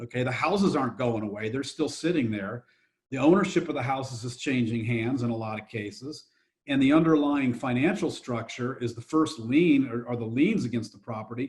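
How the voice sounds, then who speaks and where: A man speaks fairly quickly in a somewhat breathy voice, with ordinary pitch variation. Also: medium pitch for a man. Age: 60s. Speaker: real estate investor and fund manager. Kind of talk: podcast interview.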